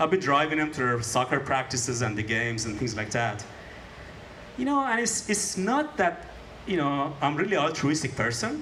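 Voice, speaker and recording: A man's fairly high voice with very wide pitch swings, audible room echo and noticeable background noise. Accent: non-native. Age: old. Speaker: stand-up comedian. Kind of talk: stand-up. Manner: fast; uniform pace.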